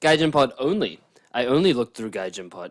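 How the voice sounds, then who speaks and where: The voice belongs to a man. His words come in an Australian accent. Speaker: podcast co-host. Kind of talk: casual chat.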